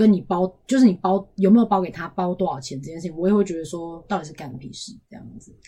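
Somewhat breathy and dark, mellow in tone, a woman speaks at a very fast pace. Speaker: podcast co-host. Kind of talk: casual chat.

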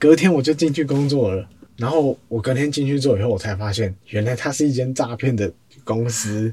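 A man's medium-pitched voice, dark, mellow and somewhat breathy, at a moderate pace with ordinary pitch variation. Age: 20s. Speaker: social media editor at a mindfulness centre. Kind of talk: interview.

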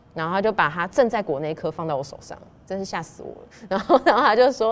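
A woman at a medium pitch with very wide pitch swings. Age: 40s. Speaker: pastry chef and shop owner. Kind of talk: interview storytelling. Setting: in a dessert shop.

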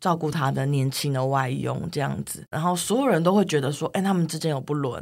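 The woman's very deep, low voice carries vocal fry and ordinary pitch variation. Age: 30s. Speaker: writer. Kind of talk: interview conversation.

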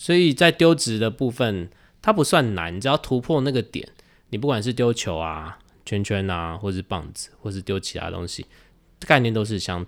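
A very clean recording with a silent background, where the voice swings very widely in pitch and loudness shifts a lot, all at a moderate pace. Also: man, fairly low pitch for a man. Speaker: juggling performer. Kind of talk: casual chat.

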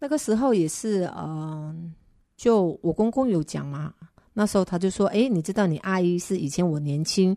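A woman speaks at a moderate pace in a fairly low, dark and mellow voice. Her pitch varies in an ordinary way over a quiet background. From Indonesia, Sumatra (ethnic Chinese, small fishing town). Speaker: guest sharing personal life story. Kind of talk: casual interview.

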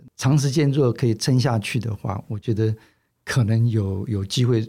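A man's dark, mellow, somewhat breathy voice comes through on a very clean recording with a silent background. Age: 60s. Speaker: magazine publisher. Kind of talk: interview. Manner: halting, many fillers.

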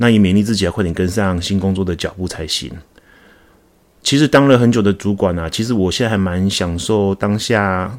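Speaking at a fairly quick pace, a man has an unremarkable speaking voice, fairly low in pitch with ordinary pitch variation. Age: 40s. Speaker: podcast host, insurance agent. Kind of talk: solo podcast monologue. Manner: casual, with fillers.

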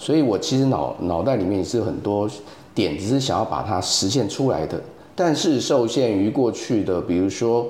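Medium-pitched male speech with a Taiwanese accent and lively intonation, at a moderate pace, with noticeable background noise and audible room echo. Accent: Taiwanese Mandarin. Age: 40s. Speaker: photographer and AI art teacher. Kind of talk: casual interview chat. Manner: halting with many fillers.

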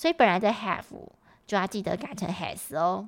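A woman with an ordinary speaking voice talks at a moderate pace with lively intonation in a very clean recording with a silent background. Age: 30s. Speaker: English teacher and podcast host. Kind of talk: tutorial.

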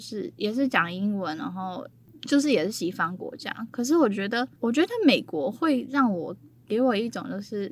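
A woman talks in an ordinary speaking voice, fairly high in pitch, with lively intonation. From Taiwan. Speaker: travel business founder. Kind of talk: casual chat.

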